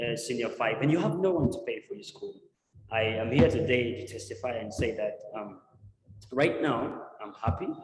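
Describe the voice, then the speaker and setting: Audible room echo surrounds a man of medium pitch who talks at a moderate pace with lively intonation and big swings in loudness. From Uganda. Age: 20s. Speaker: tech entrepreneur and guest speaker. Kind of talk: testimony.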